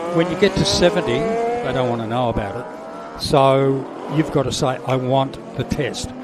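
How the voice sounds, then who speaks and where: A man with an Australian accent at a moderate pace, with audible room echo and noticeable background noise. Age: 70s. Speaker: cancer awareness advocate and former commentator. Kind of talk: casual interview. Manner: halting.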